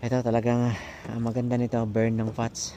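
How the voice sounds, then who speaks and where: The man speaks at a medium pitch. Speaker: fishing vlogger. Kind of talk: outdoor vlog narration. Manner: casual, halting with fillers.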